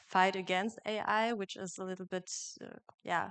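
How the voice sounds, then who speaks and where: A woman speaks with a German accent. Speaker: journalism student. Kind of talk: panel discussion.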